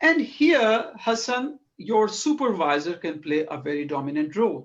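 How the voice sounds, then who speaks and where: A non-native accent with very wide pitch swings at a fairly slow pace. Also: man, high pitch for a man. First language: not English. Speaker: academic researcher. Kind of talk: academic discussion. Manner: halting.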